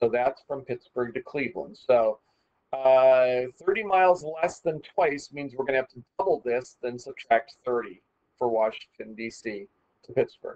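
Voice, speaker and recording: Recorded with a dry, close sound and no echo, a man at a medium pitch speaks at a moderate pace, with ordinary pitch variation and big swings in loudness. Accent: Midwestern. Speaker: math teacher. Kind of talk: tutorial. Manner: casual, conversational.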